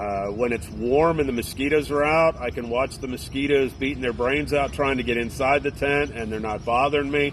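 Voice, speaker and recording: Noticeable background noise sits behind a man with a medium pitch and ordinary pitch variation. He talks at a fairly quick pace with hardly any pauses. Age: 50s. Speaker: thru-hiker, retired navy veteran. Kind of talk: interview. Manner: casual, halting with fillers.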